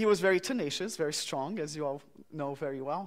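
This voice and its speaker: This man speaks with a Portuguese accent. His pace is moderate and his pitch varies in an ordinary way. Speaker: minister. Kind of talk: eulogy at memorial service. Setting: church memorial service.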